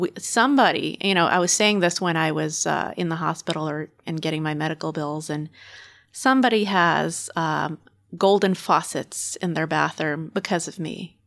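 Speaking at a moderate pace, a woman with a fairly low pitch shows vocal fry and ordinary pitch variation. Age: 30s. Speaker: political campaign volunteer. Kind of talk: casual political interview.

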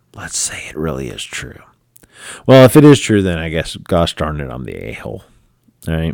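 With a very deep, low pitch, a man talks at a moderate pace, taking long, frequent pauses, his pitch swinging very widely and his loudness shifting in big swings. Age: 40s. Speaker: podcast host. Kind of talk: casual solo commentary.

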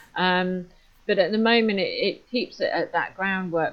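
A woman with a British accent speaks at a moderate pace and a medium pitch. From UK. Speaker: safeguarding consultant. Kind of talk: interview conversation.

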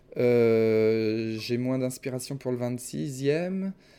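A man's dark, mellow tone comes through on a very clean recording against a silent background. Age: 30s. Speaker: YouTube adventure filmmaker. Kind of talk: casual interview. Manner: halting.

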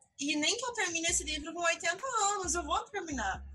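Her voice raised and projected, a woman speaks at a fairly slow pace with very wide pitch swings. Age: 20s. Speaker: journalist and content creator. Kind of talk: casual interview chat.

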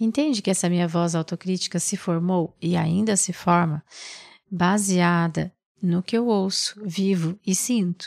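A normal speaking voice: a woman at medium pitch with ordinary pitch variation, a fairly slow pace and very even loudness. The recording is very clean with a silent background and a dry, close sound with no echo. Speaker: mindfulness meditation teacher. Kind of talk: reflective mindfulness talk.

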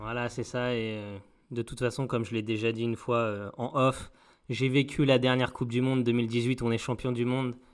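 This voice is a man's, pitched in the medium range. He delivers every line in a monotone, flat way. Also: moderate pace, very clean recording, silent background. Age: 30s. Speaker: podcast co-host. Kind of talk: casual chat.

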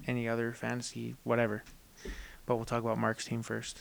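Background music beneath a man's voice pitched in the medium range. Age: 20s. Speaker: sports podcast host. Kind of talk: casual chat.

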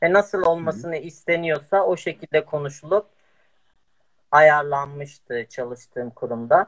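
A man with a normal speaking voice talks at a fairly high pitch and a fairly slow pace with ordinary pitch variation, in a dry, close sound with no echo. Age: 20s. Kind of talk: interview.

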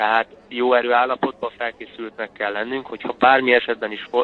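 This man speaks at a medium pitch. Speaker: professional footballer and trainee lawyer. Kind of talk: casual interview. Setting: phone call. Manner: hesitant, many filler sounds.

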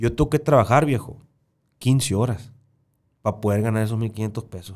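A man's medium-pitched voice with a dark, mellow tone, at a moderate pace, on a very clean recording with a silent background. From Sonora, Mexico. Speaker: podcast host. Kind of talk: casual conversation. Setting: studio.

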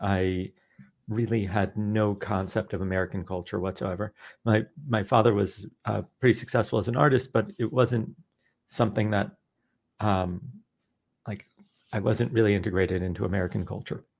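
A man with a normal speaking voice talks at a moderate pace with a fairly low pitch and fairly even intonation, on a very clean recording with a silent background. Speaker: behavioral scientist and author. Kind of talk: casual interview.

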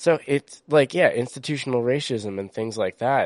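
A man with an American accent speaks in a normal speaking voice at a medium pitch, with ordinary pitch variation and a fairly slow pace. The sound is dry and close with no echo, over a quiet background. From US East Coast. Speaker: podcast co-host. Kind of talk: casual chat.

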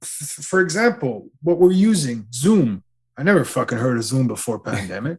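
A man speaks with a fairly high, somewhat breathy voice. His pitch swings very widely, and his loudness swings a lot too. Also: moderate pace. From Canada. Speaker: podcast guest, musician. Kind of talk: casual chat.

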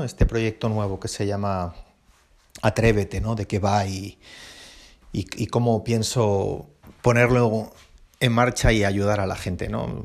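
A man talks fairly slowly. The background is silent and the recording very clean. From Basque Country, Spain. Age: 40s. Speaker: podcast host, airline pilot. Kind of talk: casual solo podcast monologue. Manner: halting, many repetitions and fillers.

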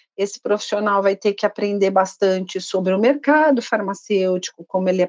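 A woman with a plain, everyday voice speaks at a medium pitch with ordinary pitch variation. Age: 50s. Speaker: pharmaceutical sales training manager. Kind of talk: corporate podcast interview.

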